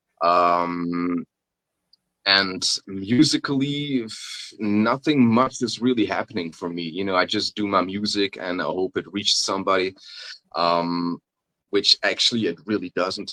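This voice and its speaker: With a non-native accent, a man talks at a fairly slow pace and fairly low pitch in a bright, sharp tone with ordinary pitch variation, in a dry, close sound with no echo. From Belgium (Flanders). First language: Dutch. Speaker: pagan folk rapper. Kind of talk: interview. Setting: video call, evening. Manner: halting, many fillers.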